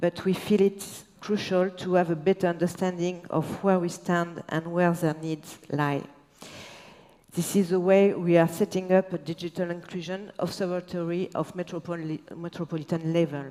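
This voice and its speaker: Flat and monotone, a woman with a French accent talks at a moderate pace in a fairly low voice with a dark, mellow tone. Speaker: local politician. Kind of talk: panel discussion, partly read. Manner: halting; partly reading aloud.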